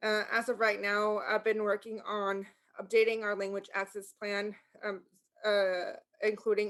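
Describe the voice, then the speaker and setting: In a Spanish accent, a woman speaks at a moderate pace with monotone, flat intonation. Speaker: sheriff's office language access liaison. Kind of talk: community meeting presentation. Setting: video call.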